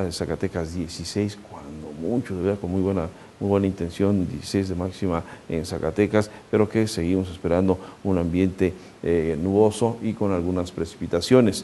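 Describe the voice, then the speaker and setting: With a very deep, low pitch, a man talks at a moderate pace and with fairly even intonation. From Mexico. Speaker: weather forecaster; TV presenter. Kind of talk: weather forecast. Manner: conversational, addresses viewer directly. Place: studio. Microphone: lapel.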